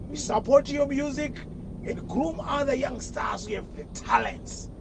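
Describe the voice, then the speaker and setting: With noticeable background noise behind him, a man speaks at an extremely high pitch and a fairly slow pace, his loudness swinging widely. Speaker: caller. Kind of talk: call-in comment. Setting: phone call. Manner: animated.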